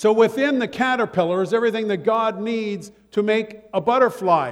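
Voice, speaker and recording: With an American accent, a man speaks at a high pitch with ordinary pitch variation against noticeable background noise. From Ohio. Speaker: pastor. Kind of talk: sermon. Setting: church.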